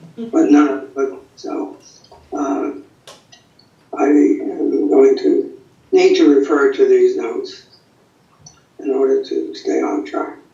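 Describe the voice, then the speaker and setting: Amid audible room echo, a man talks at a very slow pace with long, frequent pauses. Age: 90s. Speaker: acupuncture teacher and college co-founder. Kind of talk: lecture. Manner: halting.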